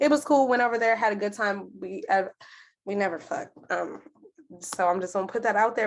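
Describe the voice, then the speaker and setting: A woman speaks in a plain, everyday voice at a medium pitch. Her pace is fairly quick, with ordinary pitch variation. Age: 20s. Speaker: podcast guest. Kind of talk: casual chat.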